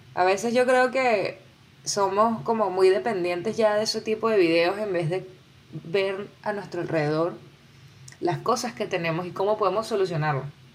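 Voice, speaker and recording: A woman's medium-pitched, animated voice at a moderate pace with ordinary pitch variation. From Venezuela. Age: 20s. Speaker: podcaster. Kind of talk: solo podcast monologue.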